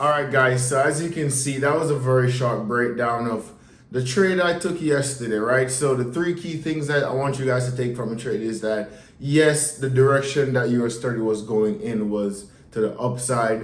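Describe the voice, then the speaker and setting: A man with a slight Jamaican accent speaks at a moderate pace in a medium-pitched, energetic tone with ordinary pitch variation and audible room echo. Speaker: forex trader. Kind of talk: tutorial. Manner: casual, energetic.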